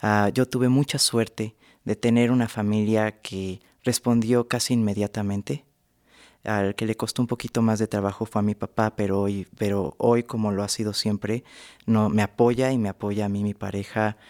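In an unremarkable speaking voice, a man with a fairly low pitch talks at a moderate pace with fairly even intonation, recorded very cleanly against a silent background with a dry, close sound and no echo. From Mexico City. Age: 20s. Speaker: cartoonist. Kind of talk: radio interview. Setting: studio.

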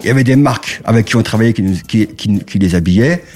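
This man has a normal speaking voice at medium pitch, using ordinary pitch variation at a moderate pace on a very clean recording with a silent background. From Paris suburbs, Val-de-Marne. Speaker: music marketing executive. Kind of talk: casual interview.

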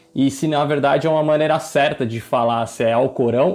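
Ordinary pitch variation runs through a man's medium-pitched delivery in a plain, everyday voice. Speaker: podcast co-host. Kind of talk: interview.

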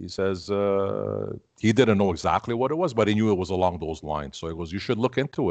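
Ordinary pitch variation from a male speaker over a quiet background. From Canada, Armenian family. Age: 50s. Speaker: keto advocate. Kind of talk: interview. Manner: halting, many fillers and repeats.

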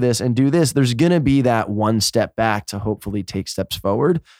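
Using a normal speaking voice, a man with an American accent talks at a fairly quick pace with lively intonation on a very clean recording with a silent background. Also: dry, close sound with no echo. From New York. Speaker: podcast host. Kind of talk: casual interview chat.

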